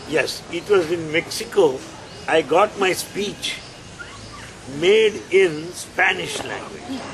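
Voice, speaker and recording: Noticeable background noise behind a man's high voice, very slow pace, ordinary pitch variation, and long, frequent pauses. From India. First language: Telugu (speaking Spanish). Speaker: spiritual speaker. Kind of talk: spiritual talk.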